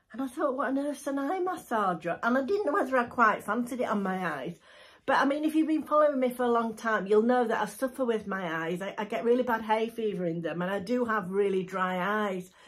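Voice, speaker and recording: At a fairly quick pace with hardly any pauses, a woman speaks in a somewhat breathy voice. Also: lively intonation. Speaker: lifestyle vlogger. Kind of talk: casual vlog chat, product review. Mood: chatty, amused. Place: home room. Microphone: phone near.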